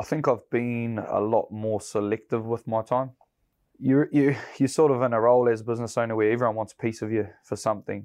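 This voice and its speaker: Over a quiet background, a man with medium pitch speaks at a fairly quick pace with fairly even intonation. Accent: New Zealand. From New Zealand, South Waikato. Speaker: builder and construction business owner. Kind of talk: interview. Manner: casual, with many fillers.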